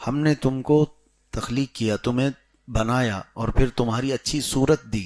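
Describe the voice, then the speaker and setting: In a normal speaking voice, a man talks at a medium pitch with fairly even intonation, the sound dry and close with no echo. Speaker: Islamic scholar giving a sermon. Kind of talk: Islamic lecture explaining Quran commentary and prayer rulings.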